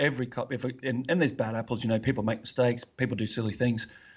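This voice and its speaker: A man speaks with an Australian accent at a medium pitch. His voice is somewhat breathy. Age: 40s. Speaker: retired police officer, podcast host. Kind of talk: interview, personal testimony. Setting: remote call, early morning for him.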